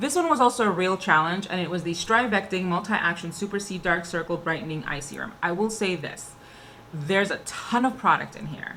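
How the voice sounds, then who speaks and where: A woman speaks at a medium pitch and a fairly quick pace, with ordinary pitch variation. Noticeable background noise can be heard. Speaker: beauty vlogger. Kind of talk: casual product review monologue. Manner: fast.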